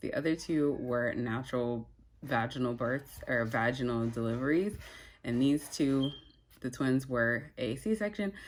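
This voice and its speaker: Very deep, low female voice at a fairly slow pace with ordinary pitch variation, very clean recording and silent background. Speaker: vlogger. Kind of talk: personal story. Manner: casual, filler-heavy.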